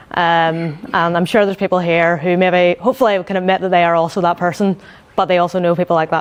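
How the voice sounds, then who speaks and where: At a very fast pace, a woman with a Northern Irish accent speaks in a fairly low pitch, with fairly even intonation and very even loudness. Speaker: UX design manager. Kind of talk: conference talk. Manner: quiet, needs to project; hesitant, many fillers.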